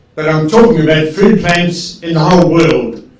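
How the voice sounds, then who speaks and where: With an Australian accent, a man talks at a moderate pace in a fairly high voice over noticeable background noise. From Australia, Tasmania. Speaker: agricultural expert. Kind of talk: lecture. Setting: video call.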